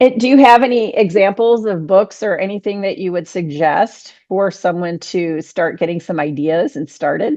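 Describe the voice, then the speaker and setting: With a plain, everyday voice, a woman speaks at a moderate pace and a medium pitch, her intonation lively. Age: 60s. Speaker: podcast host. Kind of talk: casual interview chat.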